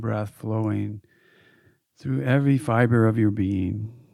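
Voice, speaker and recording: A man speaks fairly slowly in a calm, soothing, dark and mellow tone. His pitch is medium with ordinary variation. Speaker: yoga teacher and meditation guide. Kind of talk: guided meditation. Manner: slow, calm, soothing, soft-spoken; gently paced with pauses, dreamy and serene.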